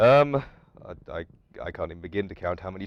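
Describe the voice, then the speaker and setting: A man speaks at a very fast pace with an English accent. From London, England. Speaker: college student. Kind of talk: interview. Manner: halting.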